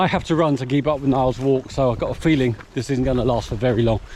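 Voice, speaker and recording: A man speaks fairly quickly while noticeable background noise carries on behind him. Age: 60s. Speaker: ultramarathon runner vlogger. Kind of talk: casual vlog narration. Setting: outdoors. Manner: cheerful, chatty.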